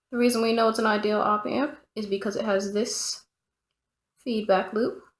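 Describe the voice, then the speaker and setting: The speaker mumbles. The pace is moderate. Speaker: electronics tutorial presenter. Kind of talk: casual tutorial explanation. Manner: mumbling, talks to self.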